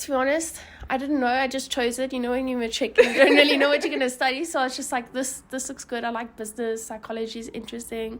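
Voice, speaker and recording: A woman with a Johannesburg accent talks at a very fast pace in a high voice, her intonation fairly even but her loudness swinging widely. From South Africa, Johannesburg. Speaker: university student. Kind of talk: casual home tour interview. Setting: her apartment, filmed on camera.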